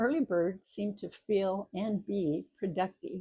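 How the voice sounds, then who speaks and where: This woman's voice is somewhat breathy, with a dark, mellow tone. Her pitch sits at a medium level with ordinary variation. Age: 70s. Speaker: retiree and author. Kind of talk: casual talk to camera.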